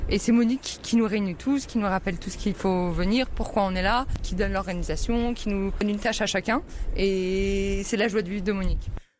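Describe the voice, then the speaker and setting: Her pitch sits in the medium range for a woman. She speaks at a fairly quick pace with fairly even intonation. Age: 20s. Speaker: trainee lawyer and food bank volunteer. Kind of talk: interview testimony. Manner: hesitant with fillers.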